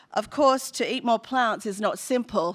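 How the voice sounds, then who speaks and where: A woman speaks with an Australian accent at a moderate pace. Her pitch varies in an ordinary way, and the recording is very clean with a silent background. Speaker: food company representative. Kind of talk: panel presentation.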